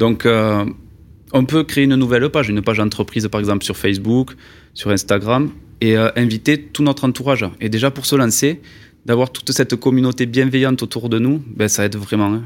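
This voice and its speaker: Over a very clean, silent background, a man with a Toulouse accent talks at a fairly quick pace in a medium pitch with ordinary pitch variation. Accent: southwestern French (Toulouse). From Toulouse, southwest France. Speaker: video maker for construction trades. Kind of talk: interview.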